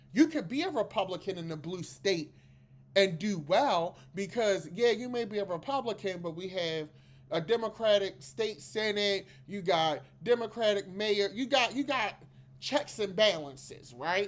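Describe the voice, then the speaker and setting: With a Maryland accent, a woman at medium pitch talks at a moderate pace, her tone animated and her intonation lively. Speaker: political commentary podcast host. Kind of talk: casual political commentary monologue. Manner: animated, conversational.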